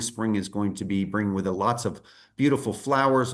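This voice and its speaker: A man with an American accent and a fairly low pitch, against a quiet background. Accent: American accent, despite UK birth. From United States. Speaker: tour company presenter. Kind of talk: sales presentation.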